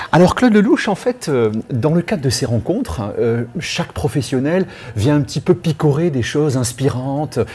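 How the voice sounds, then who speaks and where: A man talks in a fairly high pitch with lively intonation. Noticeable background noise sits behind him. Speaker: radio interviewer. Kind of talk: radio interview questions.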